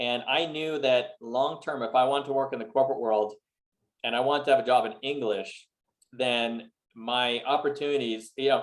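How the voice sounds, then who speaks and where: A man with a Montreal accent speaks at a moderate pace and medium pitch, with ordinary pitch variation. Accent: Canadian English (Montreal anglophone). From Montreal, Canada (English-speaking). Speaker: real estate investor. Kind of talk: interview. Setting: video call.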